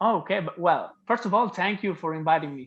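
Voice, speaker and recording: Against a quiet background, a man with a high pitch speaks at a fairly slow pace in an Italian accent with lively intonation. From Italy. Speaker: singer-songwriter. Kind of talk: interview.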